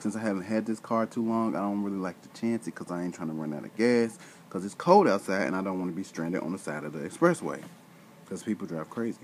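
Lively in intonation, a man with a fairly low pitch talks at a very fast pace over light background noise. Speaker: vlogger telling a story. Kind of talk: casual vlog chat. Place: home room. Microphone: webcam.

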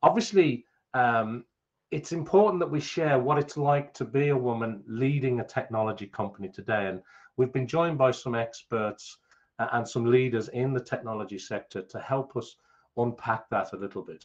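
Against a quiet background, a man with a medium-pitched voice speaks at a moderate pace in an enthusiastic tone with ordinary pitch variation. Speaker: event host and forum founder. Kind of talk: panel moderation. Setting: video call. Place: home room. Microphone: studio mic.

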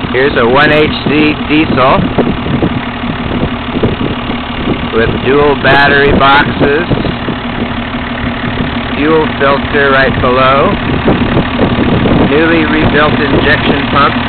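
Over loud background noise, a man speaks at a very slow pace with long, frequent pauses, the sound dry with no echo. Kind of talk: casual walkaround commentary. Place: street. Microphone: phone near.

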